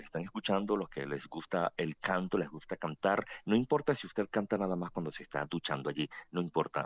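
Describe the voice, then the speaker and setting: A man at a moderate pace, very deep and low in pitch, with lively intonation, a dry sound with no echo and a quiet background. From Venezuela, Barquisimeto; Venezuela. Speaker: choir association president. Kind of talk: radio interview. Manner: talkative; halting. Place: studio.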